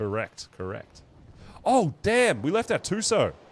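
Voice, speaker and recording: Speaking with an Australian accent, a man lets his pitch swing very widely. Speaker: gaming streamer. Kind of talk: live gameplay stream chat. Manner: casual, animated.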